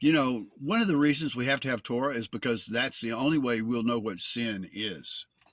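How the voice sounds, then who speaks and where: A man talks at a moderate pace with hardly any pauses. His pitch is medium, with ordinary variation. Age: 60s. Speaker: author of a religious testimony book. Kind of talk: personal testimony talk. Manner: hesitant, earnest.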